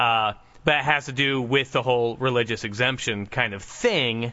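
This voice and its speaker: Here is a man with an ordinary speaking voice. His pitch is medium. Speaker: podcast host. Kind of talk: casual podcast chat.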